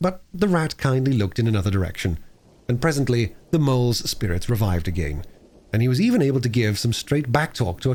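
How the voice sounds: A natural reading voice carries lively intonation from start to finish.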